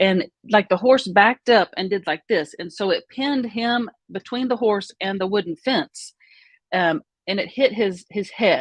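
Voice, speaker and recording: The speaker uses an Oklahoma accent at a moderate pace with ordinary pitch variation. The sound is dry and close, with no echo. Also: woman. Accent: Oklahoma southern US. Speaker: vlogger. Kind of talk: personal storytelling. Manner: conversational, hesitant with fillers.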